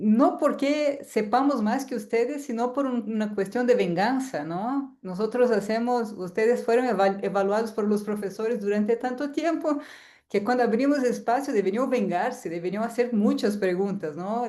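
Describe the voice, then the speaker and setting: A woman with a Portuguese accent speaks at a moderate pace with hardly any pauses. Her tone is dark and mellow, her pitch varies in an ordinary way, and audible room echo surrounds her. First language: Portuguese (speaking Spanish). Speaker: university lecturer. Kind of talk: lecture. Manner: halting.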